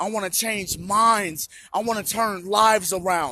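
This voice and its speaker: A man speaks in a raised, projected voice with a bright, sharp tone. His delivery is animated and moves at a moderate pace. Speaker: vlogger sharing personal recovery story. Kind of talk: personal monologue.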